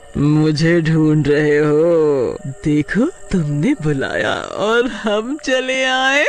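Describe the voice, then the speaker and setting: A man does a cartoonish character voice, high-pitched for a man. He speaks at a very slow pace over clear background noise. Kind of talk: cartoon horror voice. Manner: cackling, gleeful.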